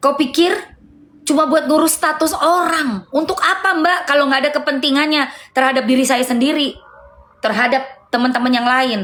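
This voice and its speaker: A woman speaks at a moderate pace in a high voice, with ordinary pitch variation and very even loudness. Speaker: live streamer. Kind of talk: heated live stream argument. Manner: loud, raised voice.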